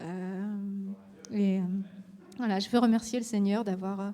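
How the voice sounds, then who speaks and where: A woman speaks at a medium pitch with a dark, mellow tone. Her intonation is monotone and flat. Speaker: church member giving testimony. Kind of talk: testimony. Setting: church service.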